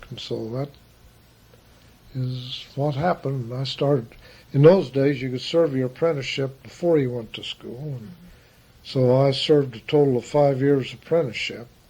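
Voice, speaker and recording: Over long, frequent pauses, a man with an American accent speaks at a moderate pace and medium pitch, somewhat breathy, his loudness swinging widely. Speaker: funeral director. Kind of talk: oral history interview.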